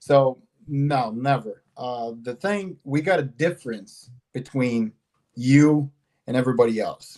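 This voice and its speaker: Fairly slow in pace, a man talks with a dark, mellow tone. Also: medium pitch for a man, ordinary pitch variation. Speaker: advanced English student. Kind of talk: testimony. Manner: halting.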